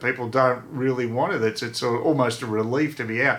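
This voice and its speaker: Speaking in an Australian accent, a man uses a medium pitch and a bright, sharp tone. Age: 60s. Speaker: vlogger. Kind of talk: casual vlog monologue. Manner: halting, many fillers and repeats.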